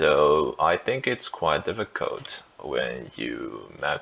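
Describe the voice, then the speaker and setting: Someone with a Chinese accent speaks at a very slow pace amid noticeable background noise. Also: man. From China. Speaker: gaming youtuber. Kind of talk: gameplay tutorial. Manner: halting, many fillers and restarts.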